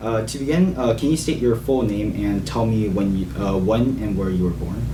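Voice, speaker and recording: With lively intonation and a fairly low pitch, a man talks at a moderate speed as noticeable noise carries in the background. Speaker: oral history interviewer.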